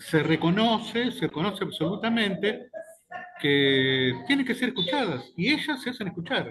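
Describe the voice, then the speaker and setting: A man with a high pitch speaks at a moderate pace, his pitch swinging very widely. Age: 60s. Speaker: journalist. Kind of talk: casual chat.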